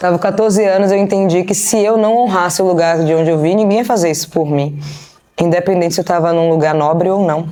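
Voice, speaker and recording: A very fast-talking woman with a Bahian accent, fairly low in pitch, at very even loudness, with audible room echo. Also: ordinary pitch variation. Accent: Bahian (northeastern Brazilian), marked. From Brazil, Bahia (Salvador). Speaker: business strategist and investor. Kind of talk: interview. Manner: casual.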